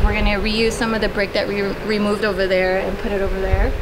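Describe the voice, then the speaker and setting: There's noticeable background noise behind this woman's voice. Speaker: homeowner vlogger. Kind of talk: casual vlog tour. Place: garden.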